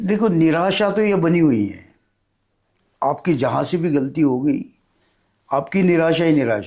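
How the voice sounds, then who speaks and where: A man talks at a fairly high pitch with very wide pitch swings. His loudness swings widely, and he pauses long and often. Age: 70s. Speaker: author. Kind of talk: interview.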